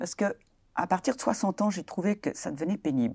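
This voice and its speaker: On a very clean recording with a silent background, a woman speaks at a moderate pace in a dark, mellow tone. Her pitch swings very widely, and vocal fry runs through her voice. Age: 70s. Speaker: retiree and abuse survivor. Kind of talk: testimony. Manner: halting.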